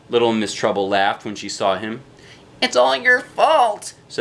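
The reading voice comes across as unforced.

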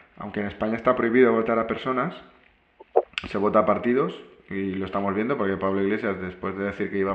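A man speaks at a fairly low pitch. The room echo is audible. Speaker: program host. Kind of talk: interview conversation. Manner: halting.

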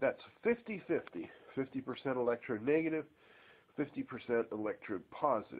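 This is a man's voice. He talks at a moderate pace. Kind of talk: tutorial. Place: garage. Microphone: phone near.

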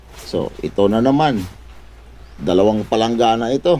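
Pitch moves with ordinary variation. The pace is fairly slow. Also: man. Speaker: vlogger. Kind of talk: comedic vlog. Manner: animated.

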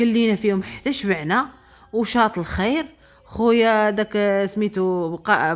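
With a Moroccan accent, a woman speaks at a fairly slow pace in a fairly high pitch, animated in tone, with ordinary pitch variation. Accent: Moroccan Arabic (Darija). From Morocco. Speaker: vlogger. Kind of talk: casual vlog monologue. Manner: spontaneous, animated. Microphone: phone near.

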